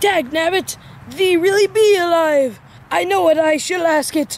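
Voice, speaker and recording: A man performs a cartoonish character voice at an extremely high pitch. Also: moderate pace. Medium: puppet show. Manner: drawling, folksy, ungrammatical.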